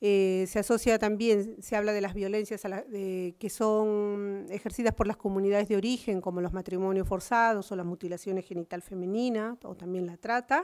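This woman talks at a moderate pace, barely pausing, with fairly even intonation. The background is quiet. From Peru. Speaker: social worker and activist; speaker. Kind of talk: conference talk. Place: hall. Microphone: podium.

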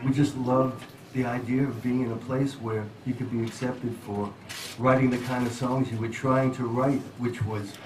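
The voice moves at a moderate pace with monotone, flat intonation over noticeable background noise. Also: man. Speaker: guest. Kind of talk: interview answer and song introduction. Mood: reflective, warm storytelling.

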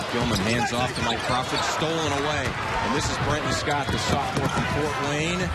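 The pace is moderate, and the sound is dry with no echo. Loud background noise runs underneath. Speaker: play-by-play announcer. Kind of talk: live basketball commentary. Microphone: headset.

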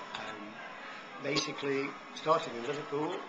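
A man at a fairly slow pace over noticeable background noise. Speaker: retired plumber, long-distance cyclist. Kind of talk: interview answer. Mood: cheerful, enthusiastic. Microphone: phone near.

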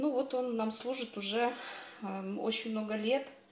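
Audible room echo and light background noise accompany a woman speaking with ordinary pitch variation. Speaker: home vlogger. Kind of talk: casual vlog chat. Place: kitchen. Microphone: phone near.

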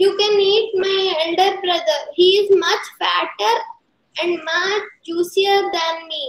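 A natural reading voice carries fairly even intonation. The background is quiet.

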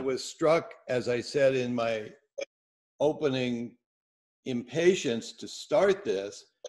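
Lively intonation at a very slow pace, with long, frequent pauses and a quiet background. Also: man. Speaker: event host. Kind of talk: opening remarks to an online discussion group. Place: home room. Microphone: webcam.

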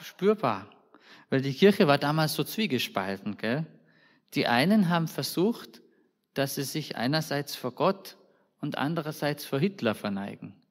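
Speaking at a fairly slow pace with long, frequent pauses, a man with a fairly high pitch, vocal fry and a warm tone makes very wide pitch swings in a very clean recording with a silent background. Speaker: preacher. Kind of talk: sermon in a church service. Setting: church. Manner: conversational, warm, informal preaching with colloquial asides; earnest and direct, addressing the congregation personally.

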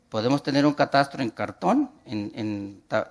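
In a northern Mexican accent, a man speaks at a fairly slow pace with a fairly high pitch and very wide pitch swings. The background is quiet. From northwestern Mexico, Hermosillo; northwestern Mexico. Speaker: urban planning and cadastre official; conference lecturer. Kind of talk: conference talk. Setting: conference hall with audience. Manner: halting, frequent repetitions. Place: hall.

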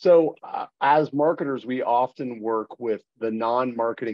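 Over a quiet background, a man speaks with ordinary pitch variation in a dry sound with no echo. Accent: American. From Boston, US. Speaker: company founder and interviewer; interviewer. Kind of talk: interview. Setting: video call. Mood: warm, friendly. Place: home room. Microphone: video call.

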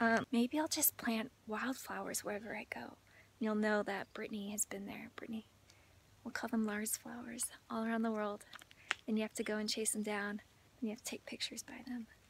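Over light background noise, a woman talks in a monotone, flat intonation with a dry sound and no echo. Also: fairly quick pace. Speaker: lifestyle vlogger. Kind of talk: casual vlog chat. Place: open country. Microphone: phone near.

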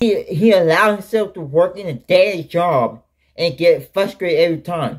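A high-pitched man at a moderate pace, music in the background. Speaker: reaction channel host. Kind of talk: casual reaction commentary. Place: home room. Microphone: webcam.

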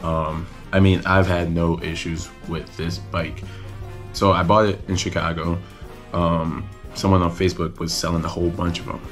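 Faint music plays in the background as a man with a very deep, low pitch speaks at a moderate pace in a monotone, flat intonation. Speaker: motorcycle vlogger. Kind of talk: casual vlog chat. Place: home room. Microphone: phone near.

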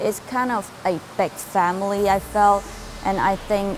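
Over light background noise, a woman with a Chinese accent talks at a fairly slow pace and a medium pitch. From China. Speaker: university student. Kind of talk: interview answer. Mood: warm, positive. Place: hall. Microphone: lapel.

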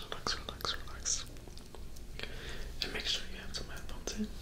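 Soft-spoken, a man is whispering. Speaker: ASMR creator. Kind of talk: soft whispered ASMR tutorial chat. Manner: soft ASMR whisper, repeated words.

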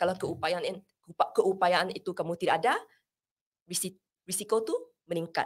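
A woman with a non-native accent at a moderate pace, with long, frequent pauses, over a quiet background. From Sarawak, Malaysia. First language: not Malay (speaking Malay). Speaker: pharmacist and mental health first aid instructor; mental health first aid instructor. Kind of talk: interview. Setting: studio. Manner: code-switching Malay and English. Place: studio. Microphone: studio mic.

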